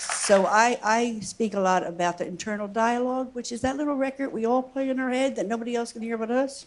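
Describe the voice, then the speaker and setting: Over noticeable background noise, a woman with a fairly high pitch talks at a fairly quick pace with hardly any pauses and ordinary pitch variation. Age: 70s. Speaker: church member sharing skydiving story. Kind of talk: testimony. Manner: halting.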